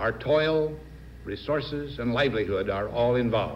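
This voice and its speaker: Speaking at a moderate pace with an American accent, the voice shows lively intonation and vocal fry. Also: man. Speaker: president giving a televised farewell address. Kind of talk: formal televised presidential address. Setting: 1961 broadcast recording.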